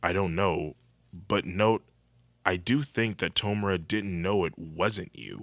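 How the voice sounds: What comes through is a natural reading voice.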